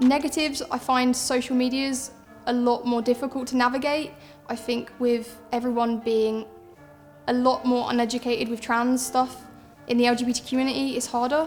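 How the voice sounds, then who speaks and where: A woman with a southern English accent talks fairly quickly at a high pitch while music plays in the background. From south east England. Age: 20s. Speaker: footballer. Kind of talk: personal testimony interview.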